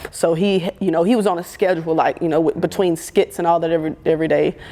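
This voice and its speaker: A woman with an American accent speaks very fast in a fairly low, animated voice. Noticeable background noise is present. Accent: southern accent, stronger when nervous. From US South, Birmingham, Alabama. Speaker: photographer and content creator. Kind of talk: interview conversation.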